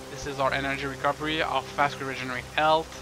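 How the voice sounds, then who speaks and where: Music plays in the background while a man speaks with a French Canadian accent. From Canada. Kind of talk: let's play game commentary. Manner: casual, joking.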